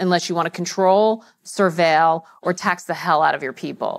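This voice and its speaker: A woman with an unremarkable speaking voice and a fairly low pitch talks at a fairly quick pace with ordinary pitch variation in a quiet background. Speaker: journalist and event moderator; journalist, event moderator. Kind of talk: moderated panel discussion. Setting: stage with live audience. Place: hall. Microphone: lapel.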